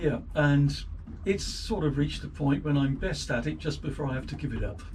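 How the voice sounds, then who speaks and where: A man with an English accent talks at a fairly quick pace. Audible room echo and noticeable background noise are present. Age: 60s. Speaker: boat owner and amateur boat builder. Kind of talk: casual interview. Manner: hesitant, with fillers.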